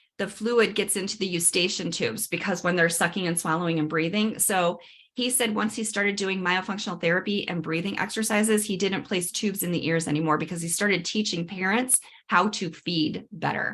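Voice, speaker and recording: A woman talks at a fairly quick pace. Her pitch is medium, with ordinary variation. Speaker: dental hygienist and myofunctional therapist. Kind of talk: webinar workshop presentation. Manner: fast.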